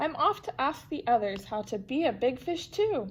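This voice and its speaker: Putting on a character voice, a woman speaks high at a moderate pace with very wide pitch swings. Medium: read story. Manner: eager, earnest.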